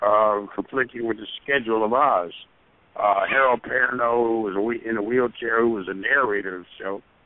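A man talks at a medium pitch and a fairly quick pace. It is an ordinary speaking voice with fairly even intonation. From US. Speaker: stage and screen actor. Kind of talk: interview storytelling. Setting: phone call.

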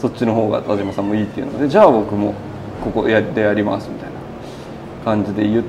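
With faint background noise behind him, a man talks in a fairly low pitch with a dark, mellow tone.

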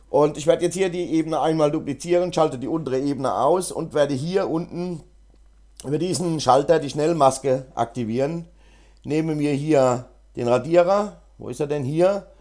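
On a very clean recording with a silent background, a man with a fairly high pitch and a dark, mellow tone speaks at a moderate pace with ordinary pitch variation. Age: 50s. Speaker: GIMP tutorial YouTuber. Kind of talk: tutorial; casual chat. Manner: hesitant, many fillers.

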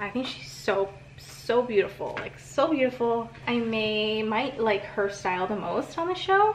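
A woman at medium pitch, fairly slow pace and lively intonation, with noticeable background noise. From small island. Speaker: lifestyle vlogger. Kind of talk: casual vlog talk to camera.

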